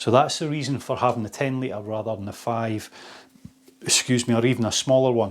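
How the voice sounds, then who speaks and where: A man with a Scottish accent, medium pitch, fairly even intonation and a fairly quick pace. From Scotland, Fife. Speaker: outdoor shop owner. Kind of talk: product demonstration. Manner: casual.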